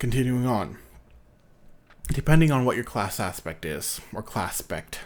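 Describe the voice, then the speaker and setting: The man's voice is quiet. He speaks at a fairly low pitch. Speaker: youtuber discussing personality types. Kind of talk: casual late-night monologue. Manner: quiet, low-energy; halting, many fillers.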